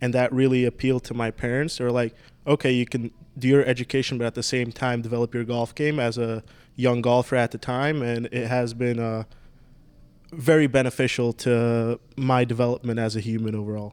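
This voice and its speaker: On a very clean recording with a silent background, a man speaks fairly quickly at medium pitch in a flat monotone. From Slovakia, raised in Florida from age seven. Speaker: professional golfer. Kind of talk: casual podcast interview.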